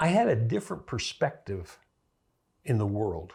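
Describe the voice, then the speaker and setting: Somewhat breathy medium-pitched man's voice with an American accent, very wide pitch swings and a fairly slow pace, on a very clean recording with a silent background. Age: 70s. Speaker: political commentator. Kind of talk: monologue. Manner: conversational.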